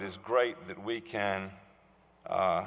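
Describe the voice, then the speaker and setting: A very slow delivery in a Virginia accent, with ordinary pitch variation and audible room echo. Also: man. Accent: southern Virginia. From US South, Suffolk, Virginia. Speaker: award recipient, civic leader. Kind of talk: acceptance speech. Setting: stage with audience.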